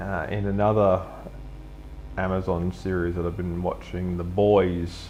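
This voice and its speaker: A man with an Australian accent speaks at a very deep, low pitch and a fairly slow pace, his intonation monotone and flat. Music plays in the background, and there is audible room echo. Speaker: live streamer. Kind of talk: casual monologue during live drawing stream. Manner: hesitant, many fillers.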